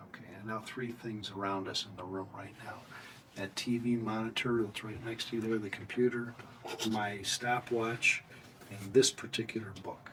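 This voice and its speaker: A man's medium-pitched voice in monotone, flat intonation, over noticeable background noise. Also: moderate pace, big swings in loudness. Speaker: clinician giving a memory test. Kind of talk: clinical examination instructions. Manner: clear, measured, instructional.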